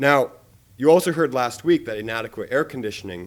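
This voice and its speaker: A man with an American accent at a fairly quick pace, ordinary pitch variation, on a very clean recording with a silent background. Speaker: public commenter. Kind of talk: public comment. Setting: board meeting. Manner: halting.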